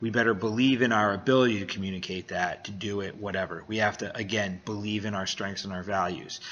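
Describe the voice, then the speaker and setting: At a very fast pace, a man speaks in a fairly low voice with fairly even intonation. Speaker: business coach and vlogger. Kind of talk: motivational monologue. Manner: halting.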